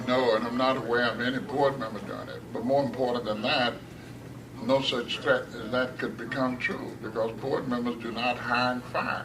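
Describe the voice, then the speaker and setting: Noticeable background noise sits behind a man speaking at a medium pitch and a moderate pace. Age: 70s. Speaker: school board member. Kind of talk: hearing testimony.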